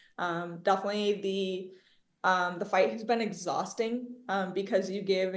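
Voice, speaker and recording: With audible room echo, a woman speaks at a medium pitch with fairly even intonation. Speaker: activist. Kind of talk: interview.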